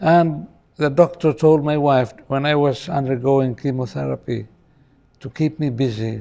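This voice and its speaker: His tone dark and mellow, a man talks with pitch that shifts in a typical way. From Philippines, Cebu. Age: 70s. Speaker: poet and retired judge. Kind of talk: interview.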